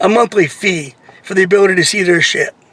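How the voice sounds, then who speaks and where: A man's voice comes through dry and close with no echo, with noticeable background noise. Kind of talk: unscripted rant to camera. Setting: in a car. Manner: irritated, complaining.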